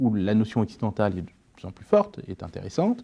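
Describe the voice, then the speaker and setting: A man's fairly low-pitched voice, dark and mellow in tone, at a fairly quick pace. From France. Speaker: entrepreneur. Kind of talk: interview.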